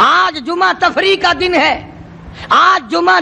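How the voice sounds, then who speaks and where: A man's raised, projected voice over noticeable background noise. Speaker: Islamic preacher. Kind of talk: religious sermon.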